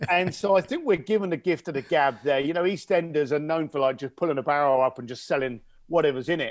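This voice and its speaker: Speaking very fast with hardly any pauses, a man with a Cockney accent and a fairly high pitch uses ordinary pitch variation on a very clean recording with a silent background. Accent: London Cockney English. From East London, England. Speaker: connector to wealthy clients, speaker and author. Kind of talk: podcast interview. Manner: animated storytelling.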